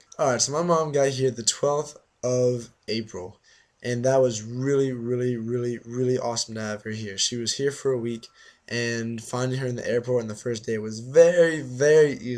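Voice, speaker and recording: The intonation stays fairly even. It comes from a man at a medium pitch. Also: moderate pace. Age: 20s. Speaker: exchange student vlogger. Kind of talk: casual vlog.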